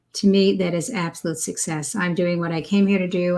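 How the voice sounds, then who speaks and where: In an American accent, a woman with a fairly low, somewhat breathy voice speaks at a fairly quick pace with fairly even intonation. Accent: slight Boston accent with Irish touch. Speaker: coach and author. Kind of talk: podcast interview.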